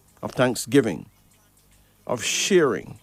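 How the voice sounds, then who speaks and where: Dry and close with no echo, a man speaks at a fairly slow pace with music in the background. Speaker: radio host and card reader. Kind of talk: radio call-in show. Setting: radio studio.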